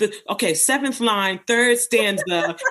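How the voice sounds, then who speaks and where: A woman talks with a New York accent and lively intonation. Her tone is bright and sharp. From Bronx, New York. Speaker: poet, performer, educator. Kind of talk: interview answer. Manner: casual.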